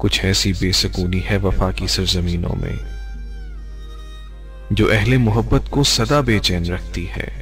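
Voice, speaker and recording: Music playing underneath very wide swings in pitch. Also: man, very deep, low pitch for a man. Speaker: radio jockey, poetry reader. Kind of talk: poetry reading.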